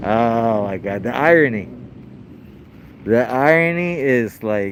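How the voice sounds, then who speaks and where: Speaking at a very slow pace, a man uses a medium pitch with lively intonation. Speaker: first amendment auditor filming police. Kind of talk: casual commentary to camera. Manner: loud; casual slangy, halting with repetitions.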